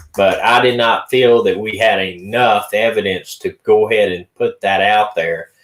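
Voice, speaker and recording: In an Appalachian accent, a man speaks at a moderate pace with hardly any pauses. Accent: Southern US, rural Appalachian. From Sand Mountain, Alabama area. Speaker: podcast host discussing missing persons cases. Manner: casual, hesitant with fillers.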